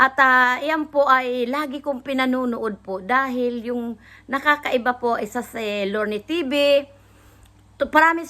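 Speaking at a fairly slow pace, a woman has a high-pitched, bright, sharp voice with ordinary pitch variation. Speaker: vlogger reacting to videos. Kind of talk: casual reaction vlog.

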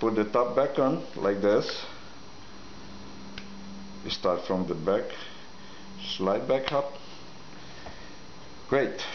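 A man with a non-native accent speaks at a very slow pace, leaving long, frequent pauses, his medium-pitched voice full of lively intonation. Audible room echo and light background noise surround him. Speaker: product demonstrator. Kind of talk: product demo talk to camera. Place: kitchen. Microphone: camera far.

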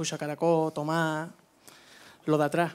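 A man speaks at a fairly high pitch. His intonation is flat and monotone. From Andalusia, Spain (La Línea, Cádiz); Andalusia, Spain. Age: young. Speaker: flamenco singer; interviewee. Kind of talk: stage interview; interview answer. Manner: halting. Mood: warm, reminiscing. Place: studio. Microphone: handheld.

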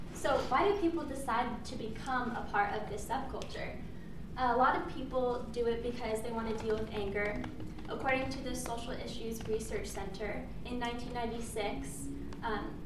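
Against noticeable background noise and audible room echo, a woman talks at a moderate pace with ordinary pitch variation. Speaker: presenter. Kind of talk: class presentation speech. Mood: slightly nervous, informal. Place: classroom. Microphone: camera far.

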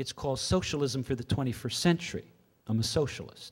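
A man speaks at a moderate pace in a somewhat breathy voice. The background is quiet. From Canada. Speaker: professor. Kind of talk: lecture. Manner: halting. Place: hall. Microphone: podium.

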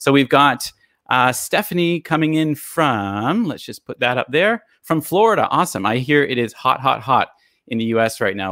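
The background is quiet and the sound is dry with no echo. A man speaks at a moderate pace with lively intonation and a bright, sharp tone. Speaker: live stream host. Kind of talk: live stream hosting chat. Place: home room. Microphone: studio mic.

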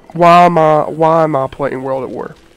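A man's high voice with fairly even intonation over noticeable background noise. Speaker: gaming YouTuber. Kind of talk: gameplay commentary. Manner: casual, halting with fillers.

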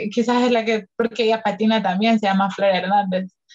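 A woman speaks in a Salvadoran accent at a fairly high pitch. The background is quiet. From El Salvador. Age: 20s. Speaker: skateboarder; podcast guest. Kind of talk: casual chat. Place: home room.

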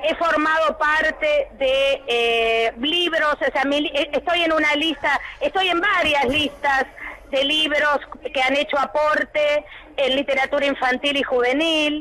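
A raised, projected voice moves at a very slow pace with very even loudness over noticeable background noise. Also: woman, high pitch for a woman. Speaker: teacher. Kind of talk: radio interview. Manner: animated.

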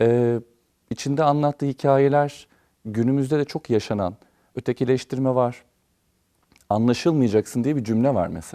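A man speaks in a dark, mellow tone at a moderate pace, with long, frequent pauses. The sound is dry and close with no echo, on a very clean recording with a silent background. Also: medium pitch for a man, ordinary pitch variation. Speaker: opera singer. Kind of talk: TV interview.

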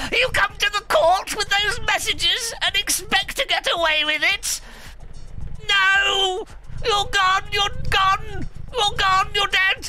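Here a put-on character voice moves at a fairly slow pace. Background noise is clearly audible. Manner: furious, commanding.

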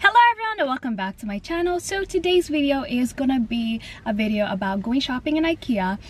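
A woman's high voice, very wide pitch swings, a fairly quick pace and a dry sound with no echo. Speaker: vlogger. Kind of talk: casual vlog chat.

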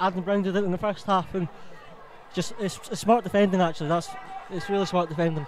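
The delivery is very fast, broken by long, frequent pauses, with fairly even intonation and noticeable background noise. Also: man, high pitch for a man. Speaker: match co-commentator, analyst. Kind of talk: live football commentary. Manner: measured, analytical.

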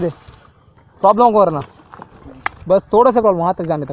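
A man speaks with lively intonation. The sound is dry with no echo, over light background noise. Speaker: vlogger filming friends. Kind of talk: casual vlog chat. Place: open country. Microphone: phone near.

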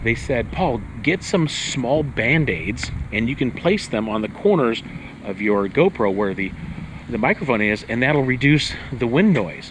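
A man talks at medium pitch with lively intonation. His fairly slow delivery comes with audible room echo.

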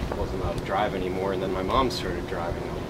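The recording has loud noise behind it. Through it, a man talks. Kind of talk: eulogy. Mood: warm, fond remembrance. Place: tent. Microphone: camera far.

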